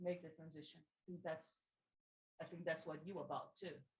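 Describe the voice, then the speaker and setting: Somewhat breathy and fairly low in pitch, a woman speaks with a Portuguese accent. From Brazil. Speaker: audience member. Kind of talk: audience question. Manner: halting.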